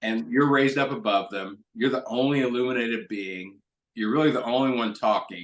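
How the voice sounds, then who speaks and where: A man with an American accent speaks in a normal speaking voice at a fairly quick pace, his medium pitch moving with ordinary variation. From Kentucky, US. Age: 60s. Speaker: stand-up comedian and rhetoric professor. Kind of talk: interview conversation.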